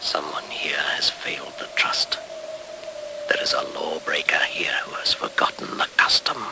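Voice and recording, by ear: In a put-on character voice, someone whispers fairly slowly with vocal fry. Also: man.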